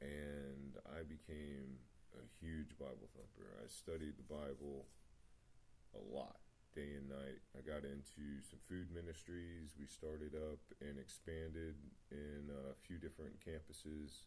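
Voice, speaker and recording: A man talks at a fairly slow pace in a very deep, low pitch with a dark, mellow tone. His intonation is monotone and flat, and audible room echo surrounds him. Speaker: vlogger sharing personal story. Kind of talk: personal testimony monologue. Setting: home meditation spot, video recording. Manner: mumbling; halting, many fillers.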